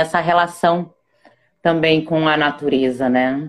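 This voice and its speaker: A woman's voice at a very slow pace. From born in Ecuador, raised in northeast Brazil (Rio Grande do Norte). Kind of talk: casual interview. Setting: online live video call.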